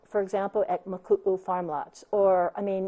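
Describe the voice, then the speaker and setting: Here a woman talks in a Hawaiian accent. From Hawaii, Big Island. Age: 60s. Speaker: county council candidate. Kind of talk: interview.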